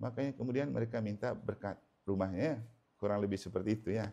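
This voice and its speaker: He has a normal speaking voice. This man's pace is fairly quick, and his pitch varies in an ordinary way. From Manggarai, Flores, eastern Indonesia. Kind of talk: sermon. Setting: house blessing Mass in a home. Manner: conversational.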